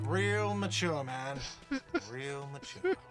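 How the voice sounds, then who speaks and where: A man's whiny, put-on character voice at a medium pitch, against clear background noise. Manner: shouting, mocking.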